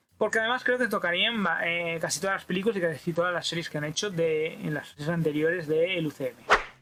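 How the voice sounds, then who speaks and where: A man's high-pitched voice at a very fast pace, with ordinary pitch variation, hardly any pauses and noticeable background noise. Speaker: YouTube pop culture reviewer. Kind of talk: solo video review. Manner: rushed, swallows words.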